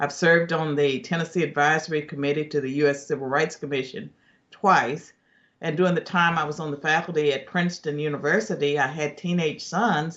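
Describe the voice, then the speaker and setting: The delivery moves at a fairly quick pace with fairly even intonation. It is an unremarkable speaking voice. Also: man, fairly high pitch for a man. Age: 60s. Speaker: political commentator, former professor. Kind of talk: news interview.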